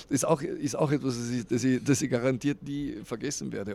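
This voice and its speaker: A man speaks at a fairly quick pace. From Austria, East Tyrol. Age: 50s. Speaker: radio morning show host and musician. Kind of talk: interview.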